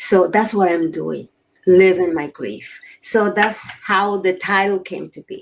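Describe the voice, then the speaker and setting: Speaking fairly slowly at a medium pitch, a woman keeps a fairly even intonation with vocal fry. Her loudness swings widely. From Nicaragua. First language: Spanish. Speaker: grief coach and author. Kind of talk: podcast interview.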